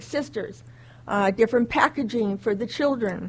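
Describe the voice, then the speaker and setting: Fairly high female voice at a fairly slow pace. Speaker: community volunteer. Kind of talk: public address. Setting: city council chambers. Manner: loud.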